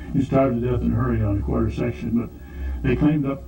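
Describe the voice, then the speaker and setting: A man with an American accent talks at a very fast pace. Room echo is audible, and there is noticeable background noise. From US Midwest (South Dakota). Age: 80s+. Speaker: retired farmer recalling childhood. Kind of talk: oral history interview. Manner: halting, many fillers.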